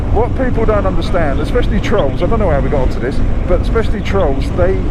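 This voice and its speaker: A man speaks at a very fast pace with very even loudness, amid noticeable background noise and audible room echo. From London. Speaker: motovlogger. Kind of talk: casual chat. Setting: riding motorcycles outdoors, bike intercom.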